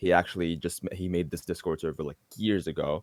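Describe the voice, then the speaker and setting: A man's very deep, low voice moves with fairly even intonation. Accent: Arabic. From Egypt, Alexandria. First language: Arabic. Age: 20s. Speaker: a cappella singer. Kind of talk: interview.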